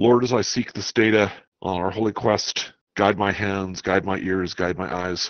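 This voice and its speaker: A man speaks at a moderate pace with an unremarkable speaking voice. His pitch sits fairly low, with fairly even intonation. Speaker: tabletop game player.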